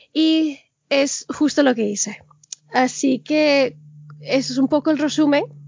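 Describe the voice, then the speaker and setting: A woman with a high pitch and ordinary pitch variation talks fairly slowly, leaving long, frequent pauses. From Venezuela, raised in Miami and Spain. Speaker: blogger and podcaster. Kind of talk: casual interview. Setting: video call.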